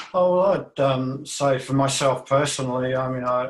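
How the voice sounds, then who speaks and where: Medium in pitch, a man's voice comes through with an Australian accent. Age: 60s. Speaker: panel participant. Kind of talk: panel discussion. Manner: halting.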